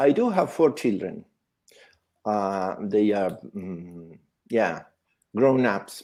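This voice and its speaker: Speaking at a very slow pace with long, frequent pauses, a man uses a fairly low pitch, a dark, mellow tone and ordinary pitch variation. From Argentina. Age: 60s. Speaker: Reiki teacher. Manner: halting.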